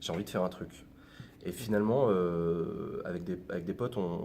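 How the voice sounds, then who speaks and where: A man speaks with fairly even intonation at a very deep, low pitch. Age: 20s. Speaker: YouTuber, former political adviser. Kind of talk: interview. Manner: casual, many hesitations.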